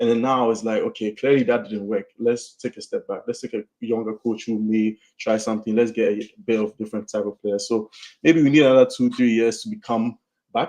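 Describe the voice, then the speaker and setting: Dark and mellow in tone, a voice with an American accent moves at a fairly quick pace in a monotone, flat intonation, recorded dry and close with no echo. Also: man, medium pitch for a man. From Ghana. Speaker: football podcast guest, analyst. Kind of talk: casual chat.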